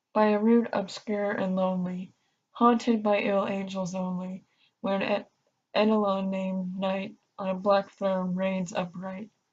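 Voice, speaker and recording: A soft-spoken woman talks at a fairly slow pace in a somewhat breathy, medium-pitched voice with monotone, flat intonation. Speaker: ASMR artist. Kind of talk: ASMR poetry reading. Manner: soft-spoken, calming.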